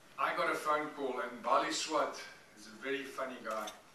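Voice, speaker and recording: This man talks with fairly even intonation. Audible room echo and light background noise sit behind him. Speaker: guest. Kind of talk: after-dinner speech. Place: hall.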